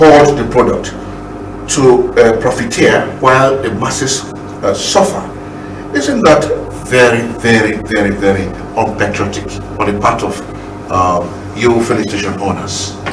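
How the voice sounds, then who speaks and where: Over noticeable background noise and audible room echo, a man speaks at medium pitch and moderate pace with lively intonation and long, frequent pauses. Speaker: TV interviewer. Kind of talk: TV interview. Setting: TV studio.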